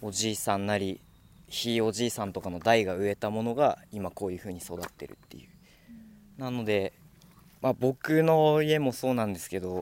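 Lively in intonation, a man with an unremarkable speaking voice and a fairly low pitch talks at a moderate pace with big swings in loudness. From Minamisanriku, Miyagi (Tohoku, Japan). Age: 20s. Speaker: young forestry worker. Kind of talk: interview.

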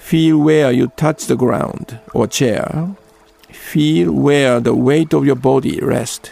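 A man's fairly high, calm, gentle voice with a Japanese accent, very slow pace, ordinary pitch variation and very even loudness, with music in the background. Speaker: Zen priest and radio host. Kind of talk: guided meditation. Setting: studio. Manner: slow, calm, gentle, unhurried; halting, with fillers.

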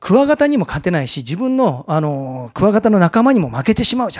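Swinging very widely in pitch, a man speaks at a fairly quick pace. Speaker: mountaineer giving a talk. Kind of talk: lecture.

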